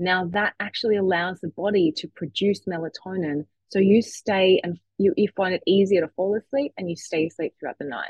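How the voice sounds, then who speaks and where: With an Australian accent, a woman talks at a fairly quick pace with hardly any pauses, her medium pitch showing ordinary variation. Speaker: sleep expert. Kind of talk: casual chat.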